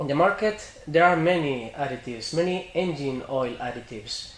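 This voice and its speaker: A man with a Spanish accent and lively intonation at a moderate pace, amid audible room echo and noticeable background noise. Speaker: interviewer, shop representative. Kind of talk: interview. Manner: halting English.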